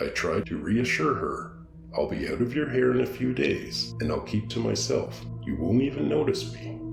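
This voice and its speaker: A man talks at a moderate pace as music plays behind him. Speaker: horror story narrator. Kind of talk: horror story narration.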